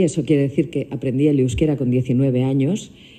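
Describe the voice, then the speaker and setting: Dark, mellow female speech with ordinary pitch variation. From Biscay, Basque Country. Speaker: actor. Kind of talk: press conference answer.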